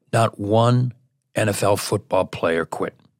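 A man's ordinary speaking voice of medium pitch, with ordinary pitch variation, in a dry, close sound with no echo and a very clean recording with a silent background. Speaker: radio host. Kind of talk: casual chat.

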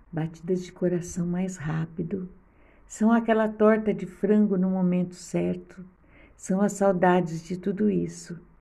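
Soft-spoken and somewhat breathy, a woman speaks very slowly with a gentle, dark, mellow tone and monotone, flat intonation, amid audible room echo. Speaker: podcast host. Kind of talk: reflective monologue. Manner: soft and gentle.

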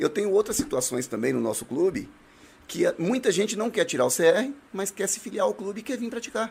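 A man speaks at a fairly quick pace in a high pitch. His pitch swings very widely. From Brazil, Northeast. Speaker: municipal guard and shooting club instructor. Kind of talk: casual chat.

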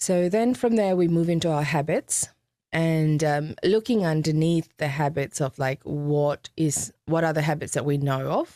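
A woman speaks fairly slowly with a very deep, low pitch, a dark, mellow tone, ordinary pitch variation and very even loudness. The sound is dry and close with no echo, on a very clean recording with a silent background. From Fiji, Indo-Fijian, moved to Australia at 19. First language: Hindi. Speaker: author and sales keynote speaker. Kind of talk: interview.

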